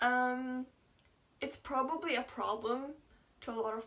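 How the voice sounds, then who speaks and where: A woman mumbles as she speaks. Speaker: YouTuber. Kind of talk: casual vlog chat. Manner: mumbling.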